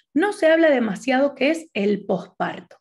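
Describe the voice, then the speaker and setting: A woman speaks in an Argentine accent with a high pitch and lively intonation. The background is quiet. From Argentina. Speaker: naturopath and doula; presenter. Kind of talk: conference talk. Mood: warm, friendly. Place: home room. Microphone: webcam.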